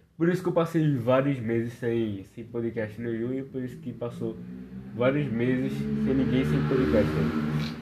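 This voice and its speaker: Wide, sweeping pitch swings from a man at medium pitch, fairly slow delivery, audible room echo and noticeable background noise. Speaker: podcast host. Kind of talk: casual chat. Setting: lying on living room floor at home. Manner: drunken, slurred.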